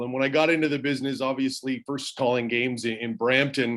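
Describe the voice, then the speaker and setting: A man with a slight Newfoundland accent, medium pitch and fairly quick pace, over a quiet background. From Canada, Newfoundland (St. John's). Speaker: hockey play-by-play broadcaster. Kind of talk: casual chat.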